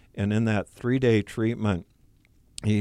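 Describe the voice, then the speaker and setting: In a very clean recording with a silent background, a man speaks at a medium pitch with a dark, mellow tone. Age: 60s. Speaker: support group leader. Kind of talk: radio interview.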